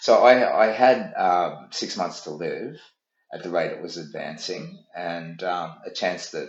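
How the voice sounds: A man speaks at a low pitch. There is audible echo from the room.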